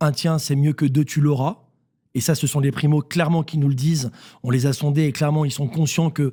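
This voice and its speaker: A man speaks at a fairly quick pace in a fairly high, somewhat breathy voice with a dark, mellow tone and fairly even intonation. The recording is very clean, with a silent background. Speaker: CEO of a real estate agency network. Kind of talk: radio interview. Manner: fast.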